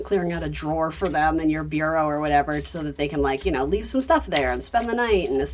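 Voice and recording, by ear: In a New England accent, a woman with a very deep, low pitch talks very fast and with lively intonation, hardly pausing, over noticeable background noise.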